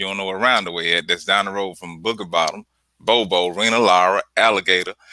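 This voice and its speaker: Very deep, low-pitched man's voice in a Mississippi Delta accent, bright and sharp in tone, very fast with fairly even intonation, on a very clean recording with a silent background. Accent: Southern US, Mississippi Delta. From US South, Clarksdale, Mississippi. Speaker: artist. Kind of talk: casual interview. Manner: halting, many fillers.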